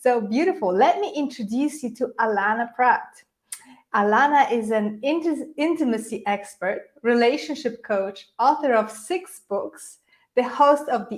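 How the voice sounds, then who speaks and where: A high-pitched woman's voice in a Polish accent, at a moderate pace. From Poland. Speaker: podcast host. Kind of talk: live interview.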